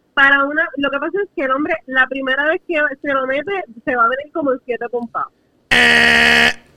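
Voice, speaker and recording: A woman speaks in a raised, projected voice with a high pitch. Her pitch variation is ordinary. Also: moderate pace, dry, close sound with no echo. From Puerto Rico, San Juan metro area. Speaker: podcast co-host. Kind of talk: casual chat. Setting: video call.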